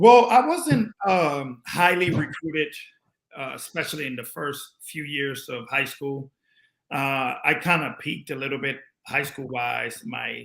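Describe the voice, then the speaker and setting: A man with a slight Spanish accent talks at a moderate pace in a fairly high, bright, sharp voice. The recording is very clean, with a silent background. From Panama. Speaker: former pro basketball player. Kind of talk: interview.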